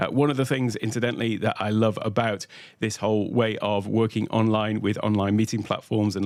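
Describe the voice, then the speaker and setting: With a British accent, a man talks at a fairly quick pace in a fairly low pitch. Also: very clean recording, silent background. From UK. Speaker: tech educator, workshop host. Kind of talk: livestream tutorial. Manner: many filler uhs.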